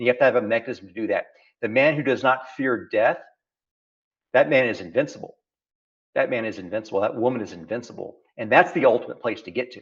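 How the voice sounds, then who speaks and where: With an American accent, a man of medium pitch talks at a very fast pace, with ordinary pitch variation, big swings in loudness, and long, frequent pauses. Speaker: founder and business leader. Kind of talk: interview conversation. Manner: animated, repetitive phrasing.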